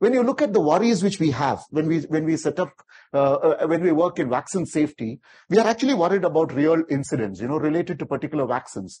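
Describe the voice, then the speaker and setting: Against a quiet background, a man with a dark, mellow tone talks very fast, his pitch swinging very widely. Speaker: vaccine safety expert. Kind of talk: lecture. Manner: fast talker; animated. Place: hall.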